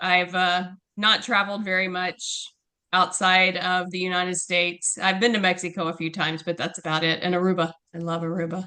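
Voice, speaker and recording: With a bright, sharp tone, a woman speaks at a fairly quick pace and medium pitch in a monotone, flat intonation. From Texas. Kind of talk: interview answer.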